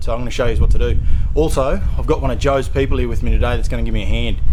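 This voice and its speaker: A man speaks very fast in a room with audible echo and noticeable background noise. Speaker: car DIY video maker. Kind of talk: casual tutorial.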